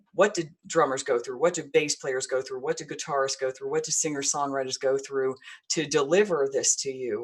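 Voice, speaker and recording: With an American accent, a woman talks in a very deep, low pitch with ordinary pitch variation. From Texas, Houston. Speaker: online show host. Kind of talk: casual chat. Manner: halting; long-winded.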